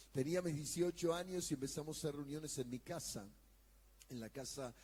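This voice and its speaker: The man has a dark, mellow tone and ordinary pitch variation. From Argentina, Buenos Aires area. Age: 60s. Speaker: pastor and evangelist. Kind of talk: sermon.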